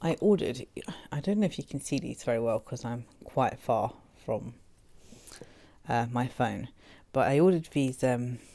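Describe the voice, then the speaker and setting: Using an English accent, a woman with a very deep, low pitch and a dark, mellow tone speaks at a moderate pace with lively intonation and long, frequent pauses. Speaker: food and lifestyle vlogger. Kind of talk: product review vlog. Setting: home, late at night.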